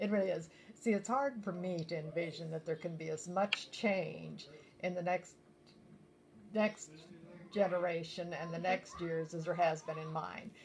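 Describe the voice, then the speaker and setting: With a US Midwestern accent, a woman speaks in a somewhat breathy voice at a fairly low pitch and a moderate pace, pausing long and often. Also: ordinary pitch variation. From rural Nebraska, US Midwest. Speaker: grandmother interviewed for a school project. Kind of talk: oral history interview.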